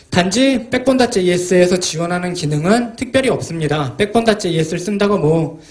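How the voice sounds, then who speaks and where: A man's high, lively voice with audible room echo and noticeable background noise. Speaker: software developer and tech book author. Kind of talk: technical conference talk. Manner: fast.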